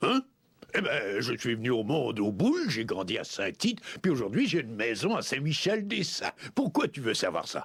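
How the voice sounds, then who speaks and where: A moderate pace runs through the speech. The voice is a put-on character. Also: man, fairly high pitch for a man. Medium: fan dub.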